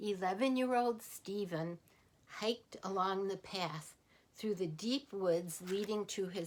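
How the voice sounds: Ordinary pitch variation from a natural reading voice.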